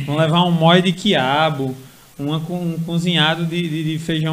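A man with a fairly high pitch speaks in a monotone, flat intonation at a fairly slow pace, with audible room echo. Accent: Paraíba. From Paraíba Brejo region, Brazilian Northeast. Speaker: cordel poet and history student. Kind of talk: casual interview chat.

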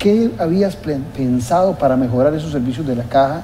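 Noticeable background noise mixes with audible room echo in the clip. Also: man. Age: 60s. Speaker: political TV host. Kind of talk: interview.

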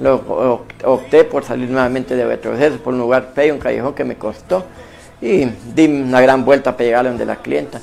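There is noticeable noise in the background. Over it, a man talks at a moderate pace. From Honduras, Copán. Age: 50s. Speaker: businessman giving religious testimony. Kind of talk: testimony.

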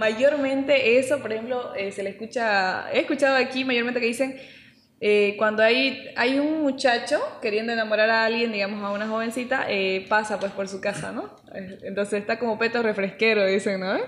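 At a moderate pace, a woman speaks in a plain, everyday voice, fairly high in pitch, with ordinary pitch variation. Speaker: podcast co-host. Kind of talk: casual chat. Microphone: saturated, poor audio.

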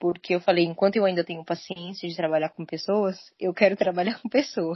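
This is a normal speaking voice with fairly even intonation. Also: woman. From São Paulo state, Brazil (São Caetano do Sul). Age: 20s. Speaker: cruise ship crew member. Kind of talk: casual chat. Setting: remote call.

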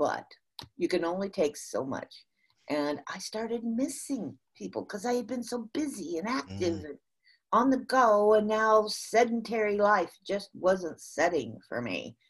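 Speaking at a moderate pace with a Midwestern US accent, a woman uses a medium pitch, a bright, sharp tone and very wide pitch swings. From US Midwest. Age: 60s. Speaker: motivational speaker and sales consultant. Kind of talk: casual interview, storytelling. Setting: remote call from the US. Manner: animated, laughs often.

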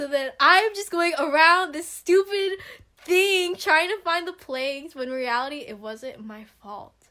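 Speaking with an American accent, a woman with an extremely high pitch and a bright, sharp tone projects her raised voice at a fairly slow pace, with very wide pitch swings and big swings in loudness. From Stockton, California. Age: young. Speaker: business student. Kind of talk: casual chat.

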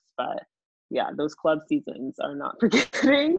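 A moderate pace in an American accent, with ordinary pitch variation. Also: woman. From Texas, Dallas suburb. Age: 20s. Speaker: professional volleyball player. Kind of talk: interview.

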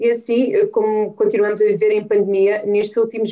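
Fairly even intonation from a woman with a dark, mellow tone. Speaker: podcast host. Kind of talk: interview. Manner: formal.

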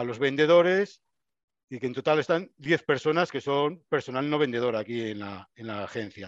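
In a plain, everyday voice, a man speaks fairly high in pitch with lively intonation at a moderate pace, the sound dry and close with no echo against a quiet background. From Spain, Burgos. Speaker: regional office director. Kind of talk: interview.

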